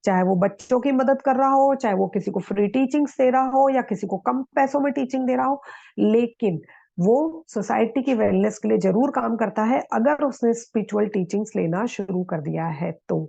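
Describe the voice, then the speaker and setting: Over a quiet background, a woman with a fairly high pitch and a dark, mellow tone speaks at a fairly slow pace with lively intonation and hardly any pauses. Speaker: yoga and meditation teacher. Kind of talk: lecture.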